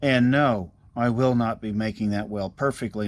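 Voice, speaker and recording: A man's normal speaking voice at a fairly slow pace with ordinary pitch variation, in a very clean recording with a silent background. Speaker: car restorer. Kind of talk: workshop tutorial. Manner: casual, rambling with fillers.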